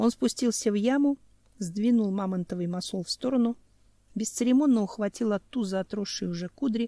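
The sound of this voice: An unforced reading voice carries ordinary ups and downs in pitch.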